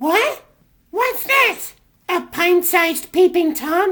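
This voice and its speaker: A man puts on a squeaky, cartoonish character voice at an extremely high pitch, speaking at a very slow pace. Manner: theatrical, grand.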